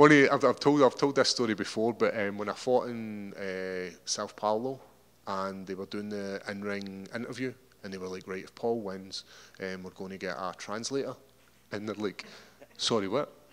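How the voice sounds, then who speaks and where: A man speaks with a Scottish accent at a fairly low pitch and with ordinary pitch variation. His loudness swings a lot. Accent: Scottish accent, slowed down for Americans. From Scotland. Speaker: mixed martial arts fighter. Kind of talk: interview. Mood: relaxed, joking. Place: hall. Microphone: handheld.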